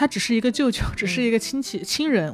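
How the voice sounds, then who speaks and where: A woman's fairly high voice at a very fast pace, with lively intonation over noticeable background noise. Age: 20s. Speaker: podcast host. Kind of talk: casual chat.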